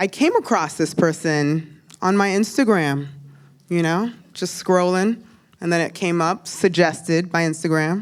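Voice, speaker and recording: A woman with a normal speaking voice, fairly low in pitch, with ordinary pitch variation and a fairly slow pace. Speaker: show host. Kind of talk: guest introduction.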